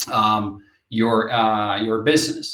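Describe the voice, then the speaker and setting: A man speaks with a Finnish accent. His pitch varies in an ordinary way. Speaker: company representative presenting product. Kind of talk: webinar presentation. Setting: online webinar. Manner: halting, many fillers and repetitions.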